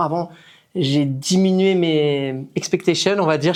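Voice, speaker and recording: A man's high-pitched voice with ordinary pitch variation over a quiet background. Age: 40s. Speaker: fitness coach. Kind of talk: interview. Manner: casual.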